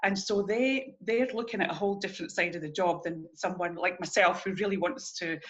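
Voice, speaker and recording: A woman talks with a Scottish accent at a fairly quick pace. Noticeable background noise can be heard. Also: medium pitch for a woman, ordinary pitch variation, hardly any pauses. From Scotland. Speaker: early childhood educator. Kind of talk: interview.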